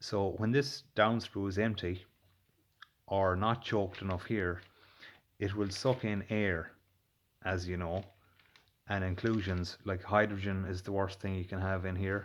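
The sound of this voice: A man's low voice at a fairly slow pace, with little pitch movement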